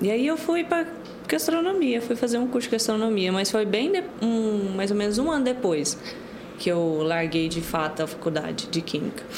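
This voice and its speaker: A woman's fairly high-pitched voice with very wide pitch swings and very even loudness, amid audible room echo and noticeable background noise. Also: moderate pace. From Goiás, Brazil (Pontalina). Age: 20s. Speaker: baker, cookie business owner. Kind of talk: casual interview.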